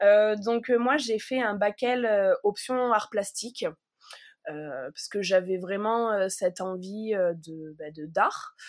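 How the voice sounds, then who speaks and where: A woman at a very slow pace, with ordinary pitch variation and big swings in loudness, in a very clean recording with a silent background. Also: medium pitch for a woman. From southern France, Provence village. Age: 30s. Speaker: wool artist. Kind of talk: interview. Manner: halting.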